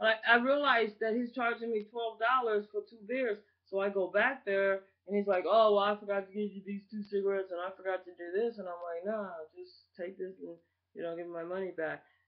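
Fairly even in intonation, a woman speaks at a fairly quick pace. The background is quiet. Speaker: vlogger. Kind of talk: casual vlog rant. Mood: annoyed, opinionated. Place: home room. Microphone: webcam.

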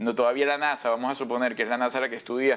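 Talking at a very fast pace, a man gets his words out. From Venezuela. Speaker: broadcaster and actor; actor. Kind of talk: TV interview. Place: studio. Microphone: lapel.

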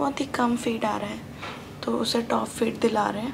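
Noticeable background noise runs beneath a woman who talks at a fairly slow pace. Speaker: new mother vlogger. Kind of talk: casual vlog chat. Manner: weak, drowsy post-surgery voice. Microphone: phone near.

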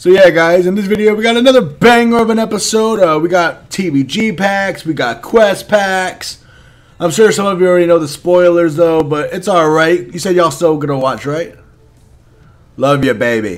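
The speaker sounds animated. Their intonation is lively. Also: man, high pitch for a man, moderate pace. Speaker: mobile game YouTuber; game streamer. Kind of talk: casual gaming video commentary. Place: home room. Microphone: headset.

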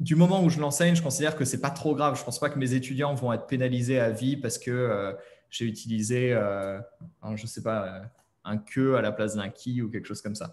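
Speaking at a fairly quick pace, a man uses a medium pitch with ordinary pitch variation. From France. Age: 30s. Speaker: online French teacher. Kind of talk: interview. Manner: hesitant, many fillers. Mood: relaxed, chatty. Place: home room. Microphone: webcam.

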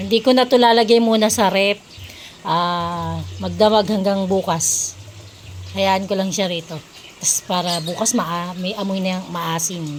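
Fairly slow, fairly evenly intoned speech from a woman at a medium pitch, over noticeable background noise. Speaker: cooking vlogger. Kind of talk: tutorial. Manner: casual.

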